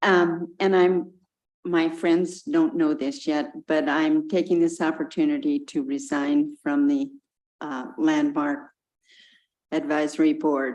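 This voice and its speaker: A woman's fairly low voice, very slow, with very wide pitch swings. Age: 80s+. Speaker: advisory board member. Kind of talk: public meeting remarks. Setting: city council meeting. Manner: halting.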